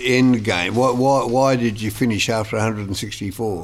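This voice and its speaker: A man with an Australian accent speaks very slowly, at a medium pitch and with ordinary pitch variation. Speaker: podcast co-host. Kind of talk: casual interview.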